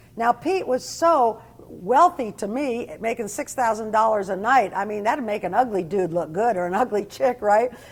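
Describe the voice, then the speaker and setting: With an American accent and a fairly high pitch, a woman talks at a moderate pace with lively intonation and hardly any pauses, against noticeable background noise. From New Jersey. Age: 60s. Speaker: ex-addict sharing life story. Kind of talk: testimony.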